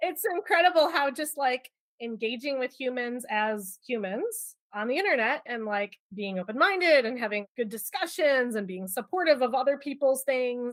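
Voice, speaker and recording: Loud and animated, a woman with a high pitch speaks at a moderate pace with lively intonation and hardly any pauses. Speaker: product management leader. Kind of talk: podcast interview.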